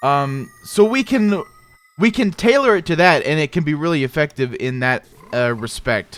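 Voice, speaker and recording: Against noticeable background noise, a man with a fairly high pitch speaks at a moderate pace with very wide pitch swings. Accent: American. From US Midwest, South Dakota. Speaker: gaming streamer. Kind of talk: casual chat. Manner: halting, many restarts and fillers.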